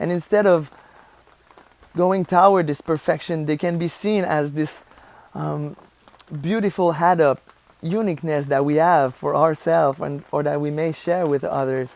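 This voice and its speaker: Against noticeable background noise, a woman with a Quebec accent and a very deep, low pitch speaks at a moderate pace, with fairly even intonation and long, frequent pauses. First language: French. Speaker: vlogger and life coach. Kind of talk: vlog monologue. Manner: halting, searching for words.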